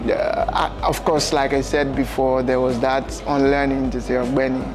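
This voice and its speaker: A man's voice at very even loudness, with audible room echo and noticeable background noise. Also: moderate pace. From Nigeria. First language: Yoruba. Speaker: event MC and tech entrepreneur. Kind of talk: interview. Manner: conversational, with many fillers.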